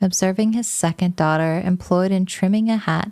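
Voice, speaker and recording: Soft-spoken and gentle in tone, a woman talks at a moderate pace and medium pitch, her dark, mellow voice holding fairly even intonation in a very clean recording with a silent background. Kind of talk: narrated novel reading. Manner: soft-spoken, gentle.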